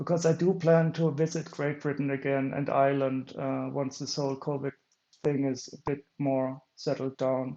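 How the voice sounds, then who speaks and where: A man with a German accent speaks at a moderate pace in a fairly high pitch, his intonation flat and monotone. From Germany. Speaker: streamer. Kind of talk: casual chat. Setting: live stream. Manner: halting.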